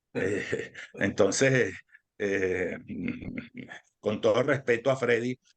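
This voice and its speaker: His intonation stays fairly even. The voice belongs to a man. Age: 60s. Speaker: political analyst. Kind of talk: interview. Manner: halting.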